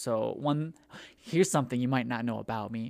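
A man speaks at a moderate pace in an ordinary speaking voice, with ordinary pitch variation. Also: very clean recording, silent background. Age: 20s. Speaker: podcast co-host. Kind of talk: casual chat.

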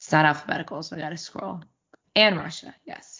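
A woman with an American accent has a very deep, low pitch. She speaks at a fairly quick pace. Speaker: podcast co-host. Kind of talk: casual chat.

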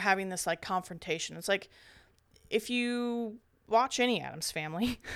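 A woman with a plain, everyday voice and a fairly high pitch speaks at a fairly quick pace in a very clean recording with a silent background. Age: 30s. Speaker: horror podcast co-host. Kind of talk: casual chat.

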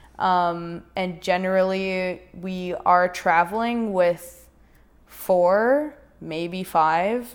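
In a western Canadian accent, a woman speaks very slowly at medium pitch with ordinary pitch variation. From Prince George, British Columbia, Canada. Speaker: Olympic snowboarder. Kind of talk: casual interview.

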